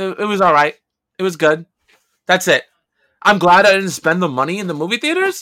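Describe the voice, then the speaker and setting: A man's raised, projected voice with a New York accent, high in pitch with ordinary variation, bright and sharp in tone, at a fairly quick pace broken by long, frequent pauses. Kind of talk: casual chat.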